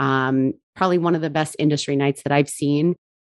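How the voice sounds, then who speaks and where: A woman with a New Jersey accent speaks at a very deep, low pitch in a monotone, flat way. The sound is dry and close with no echo, over a quiet background. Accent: New Jersey American English. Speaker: bourbon brand ambassador. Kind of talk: casual interview.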